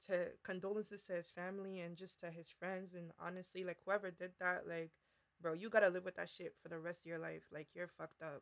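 A woman at medium pitch speaks at a fairly quick pace in a monotone, flat intonation. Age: 20s. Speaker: podcast co-host. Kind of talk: casual chat.

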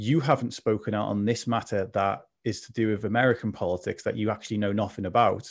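With a plain, everyday voice, a man speaks at a moderate pace and a fairly low pitch. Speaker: mental health advocate. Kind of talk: casual chat. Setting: video call.

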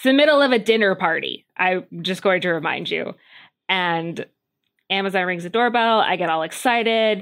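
A woman talks in a normal speaking voice at medium pitch, with ordinary pitch variation. Her pace is moderate, and her loudness swings widely. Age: 30s. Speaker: mermaid instructor. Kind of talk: interview.

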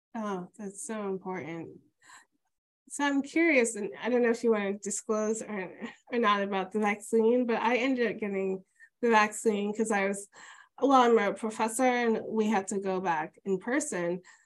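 Here a woman with an unremarkable speaking voice talks at a moderate pace over a quiet background. Her pitch is fairly high, with ordinary variation. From New York. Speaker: podcast host and oral history interviewer. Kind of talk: oral history interview.

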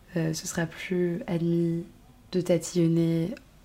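Pitched fairly low, this woman talks in a dark, mellow tone. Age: 20s. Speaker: podcast host. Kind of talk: personal monologue. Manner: hesitant, many fillers.

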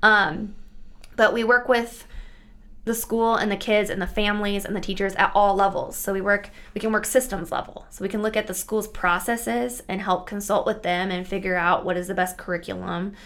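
A woman's medium-pitched voice in a US Midwestern accent, fairly quick, with fairly even intonation. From rural Nebraska, US Midwest. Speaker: school psychologist. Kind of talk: casual interview.

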